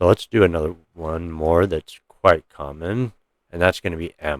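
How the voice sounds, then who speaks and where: Very deep, low male speech with fairly even intonation, recorded dry and close with no echo. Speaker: gaming tutorial youtuber. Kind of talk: tutorial. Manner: fast; casual.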